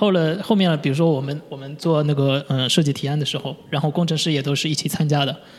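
Over noticeable background noise, a man with a fairly high pitch races along very fast, with fairly even intonation and hardly any pauses. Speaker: UI designer. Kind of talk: interview. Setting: studio. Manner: halting, many fillers.

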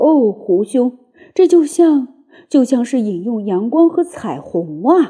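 In a put-on character voice, a woman speaks slowly with big pitch swings at a fairly high pitch. Her tone is dark and mellow, with a slightly husky edge.

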